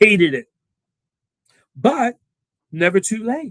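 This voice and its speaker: A man with a New York accent swings his pitch very widely, recorded dry and close with no echo. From New York City, Queens. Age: 70s. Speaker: engineer. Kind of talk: interview. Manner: halting.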